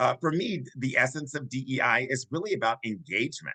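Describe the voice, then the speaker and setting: A man with an American accent, a fairly high pitch and a bright, sharp tone, in a dry, close sound with no echo. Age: 60s. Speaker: diversity and inclusion consultant. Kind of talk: podcast discussion.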